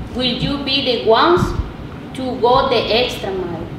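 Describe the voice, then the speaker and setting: Speech at a very slow pace comes through audible room echo and noticeable background noise. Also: woman. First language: Spanish. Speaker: parent activist speaking at public comment. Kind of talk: public comment at board meeting, partly read statement. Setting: public library board meeting. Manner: halting.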